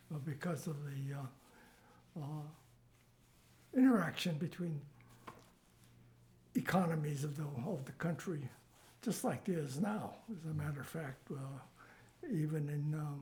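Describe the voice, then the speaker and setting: At a fairly slow pace, a man with a fairly high, somewhat breathy voice talks with long, frequent pauses and ordinary pitch variation. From US West Coast, Los Angeles. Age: 90s. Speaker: oral history interviewee. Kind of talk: life story interview. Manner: halting, many fillers.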